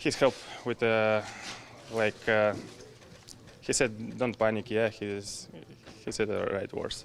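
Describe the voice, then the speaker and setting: A man speaks at a fairly low pitch with monotone, flat intonation. He leaves long, frequent pauses. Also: fairly slow pace. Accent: Russian. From Russia. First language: Russian. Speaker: professional hockey goalie. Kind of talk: media scrum interview. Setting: press availability after practice. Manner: halting.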